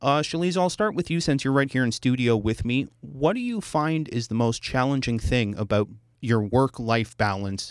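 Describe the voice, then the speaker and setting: A man talks at a moderate pace in a medium pitch with lively intonation and hardly any pauses, a normal speaking voice. The recording is very clean, its background silent. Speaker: radio host. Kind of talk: radio podcast hosting, conversational. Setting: studio.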